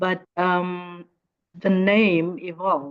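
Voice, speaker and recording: This woman has an Afrikaans South African accent. Her pitch is fairly low. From South Africa, Northern Cape. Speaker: educator and fashion designer. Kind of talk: interview conversation. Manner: halting, many repetitions.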